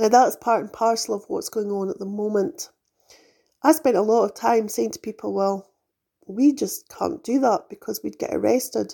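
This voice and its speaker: With a British accent, this voice moves along fairly quickly. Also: woman. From UK. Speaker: spiritual podcast host. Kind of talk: spiritual monologue.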